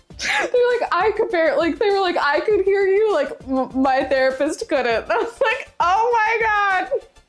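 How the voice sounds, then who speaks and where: Music plays behind a woman whose animated voice sits at an extremely high pitch, swinging very widely in pitch at a fairly slow pace, with very even loudness and hardly any pauses. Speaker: livestreamer. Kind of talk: casual chat.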